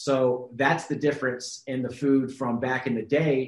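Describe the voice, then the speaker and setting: A man talks at a moderate pace in a medium-pitched voice. It is a plain, everyday voice. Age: 30s. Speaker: health and fitness coach. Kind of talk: casual chat.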